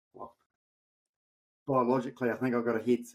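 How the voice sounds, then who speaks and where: A man with a New Zealand accent at a medium pitch. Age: 60s. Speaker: amateur endurance athlete. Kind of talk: podcast interview. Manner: halting.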